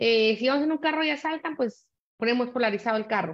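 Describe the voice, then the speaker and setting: A woman's high-pitched voice at a fairly quick pace, with ordinary pitch variation against a quiet background. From Guatemala. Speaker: panelist on cyber violence; panelist. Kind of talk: panel discussion. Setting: video call. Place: home room. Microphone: webcam.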